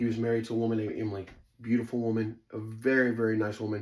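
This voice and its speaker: A man with an American accent talks very fast in a fairly low voice. The recording is very clean with a silent background. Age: 40s. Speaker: storyteller, former fight camp insider. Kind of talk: personal storytelling monologue. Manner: casual, filler-heavy, lots of ums; animated.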